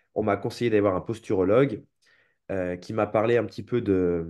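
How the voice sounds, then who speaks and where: Against a quiet background, a man with a dark, mellow tone speaks quickly-ish, fairly quick in pace and fairly low in pitch. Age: 20s. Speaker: movement coach and seminar teacher; movement coach, seminar teacher. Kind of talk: interview. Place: home room. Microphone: video call.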